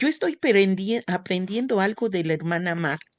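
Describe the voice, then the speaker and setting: Lively intonation carries through the speech. The sound is dry and close with no echo, over a quiet background. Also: woman. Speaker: church class teacher. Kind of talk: religious class lesson.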